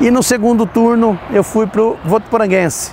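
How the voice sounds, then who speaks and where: Noticeable background noise runs under the recording. A man speaks at a high pitch. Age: 60s. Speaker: retired footballer and police officer. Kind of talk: interview testimony.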